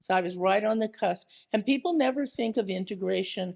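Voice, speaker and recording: Against a quiet background, a woman with vocal fry talks at a fairly quick pace, her pitch medium with ordinary variation. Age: 70s. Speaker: artist and scholar. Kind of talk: public art talk conversation. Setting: museum stage with audience.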